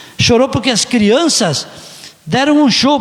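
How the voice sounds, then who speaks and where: A man speaks at a moderate pace, with audible room echo and noticeable background noise around his voice. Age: 60s. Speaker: city councillor. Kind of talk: council session speech. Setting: council chamber.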